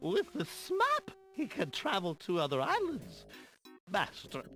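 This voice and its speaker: A man speaks at a fairly slow pace in a put-on character voice, with faint music in the background. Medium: video game. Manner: confused, muddled.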